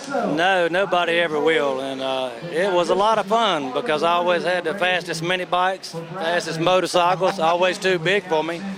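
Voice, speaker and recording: In a Southern US accent, a man talks at a moderate pace with hardly any pauses, using a high pitch and ordinary pitch variation, with noticeable background noise behind him. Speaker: drag racer. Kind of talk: interview. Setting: outdoors.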